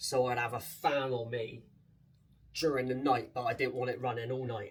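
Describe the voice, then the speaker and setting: A man with a strong Bristolian accent at a fairly quick pace, fairly even intonation, noticeable background noise and audible room echo. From England, Bristol. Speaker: vlogger. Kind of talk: casual vlog chat. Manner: casual, chatty.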